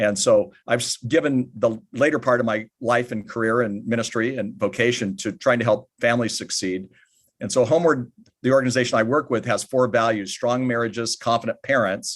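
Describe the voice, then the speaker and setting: This is an unremarkable speaking voice, a man with an American accent talking at a fairly quick pace and medium pitch. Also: ordinary pitch variation. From United States. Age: 60s. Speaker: author and family ministry speaker. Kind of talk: podcast interview.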